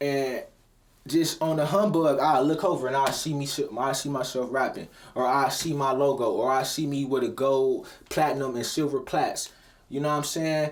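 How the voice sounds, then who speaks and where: A fairly high-pitched man at a moderate pace, with audible room echo. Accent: American. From Cleveland, Ohio. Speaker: rapper and motivational vlogger. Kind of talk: motivational talk. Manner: casual, animated.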